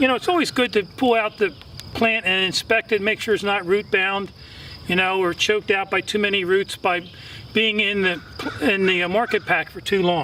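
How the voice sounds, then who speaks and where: Against noticeable background noise, a man with a high pitch uses a raised, projected voice at a moderate pace with ordinary pitch variation. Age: 60s. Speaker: gardening channel host. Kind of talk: tutorial. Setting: outdoors. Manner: casual, filler-heavy.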